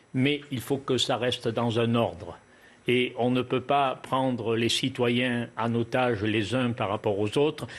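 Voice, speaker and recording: Against a quiet background, a man with a Cévennes accent speaks at a very slow pace and medium pitch, his intonation fairly even and his loudness very even. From Lozère, southern France. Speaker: local representative. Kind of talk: TV panel debate.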